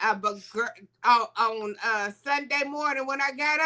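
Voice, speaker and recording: Her voice is raised and projected, with a bright, sharp tone. The woman speaks at a fairly slow pace. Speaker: morning show co-host. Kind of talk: casual chat. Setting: live stream.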